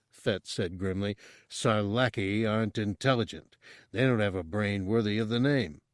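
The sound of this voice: The reading voice here is unforced.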